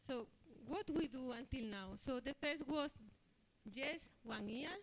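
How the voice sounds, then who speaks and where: A woman with a non-native accent, high in pitch, with lively intonation and a fairly slow pace. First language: not English. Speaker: scientific committee presenter. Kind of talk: conference presentation. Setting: conference hall. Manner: halting.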